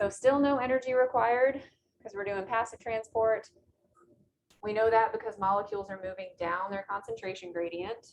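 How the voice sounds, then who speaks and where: Light background noise accompanies a woman speaking in a normal speaking voice, fairly high in pitch with ordinary variation, at a moderate pace. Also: big swings in loudness. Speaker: biology instructor; biology lecturer. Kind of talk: lecture. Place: classroom.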